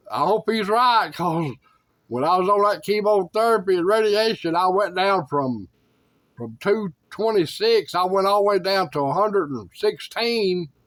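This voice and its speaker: This man has a Tennessee accent. His voice sits high in pitch. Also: ordinary pitch variation, moderate pace. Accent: Southern US (Tennessee). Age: 60s. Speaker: YouTuber sharing life updates. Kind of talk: casual talk to camera. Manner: halting, with many fillers.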